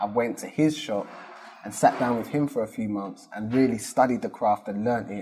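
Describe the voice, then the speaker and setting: A man with a South London accent, medium pitch, a dark, mellow tone and fairly even intonation, at a fairly quick pace. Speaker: business founder. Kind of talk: interview.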